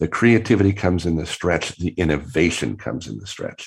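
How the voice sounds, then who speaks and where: A man speaks very fast in a very deep, low voice with vocal fry, on a very clean recording with a silent background. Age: 60s. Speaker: creativity professor and author. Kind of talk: interview. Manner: hesitant, repeats words.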